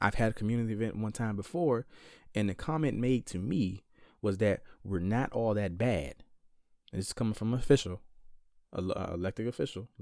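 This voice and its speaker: Though his pace is fairly quick, a man with a dark, mellow tone and fairly low pitch leaves long, frequent pauses. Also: ordinary pitch variation, very clean recording, silent background. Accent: American. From rural Virginia, Caroline County. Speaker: podcast host, social worker. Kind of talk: casual chat.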